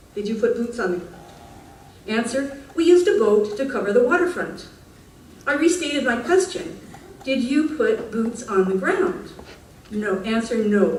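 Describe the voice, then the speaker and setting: A woman with a fairly high pitch speaks at a moderate pace, her pitch swinging very widely and her speech broken by long, frequent pauses. Noticeable background noise and audible room echo are present. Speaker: public speaker at council meeting. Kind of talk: reading aloud. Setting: council meeting with audience.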